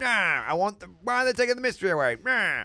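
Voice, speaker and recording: In a whiny, put-on character voice, a man speaks very fast at a high pitch with very even loudness. The recording is very clean, with a silent background. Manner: whiny, mocking.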